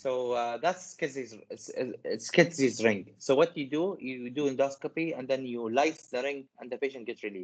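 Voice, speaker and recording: The delivery keeps a moderate pace. Hardly any pauses break it up. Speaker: medical teacher. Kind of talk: lecture. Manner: halting.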